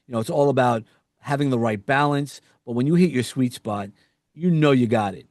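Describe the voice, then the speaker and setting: With a New York accent, a man talks at a medium pitch and a moderate pace. His pitch varies normally, and the background is quiet. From US Northeast, New York. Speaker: podcast host and executive coach. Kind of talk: interview conversation. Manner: halting, with fillers and restarts.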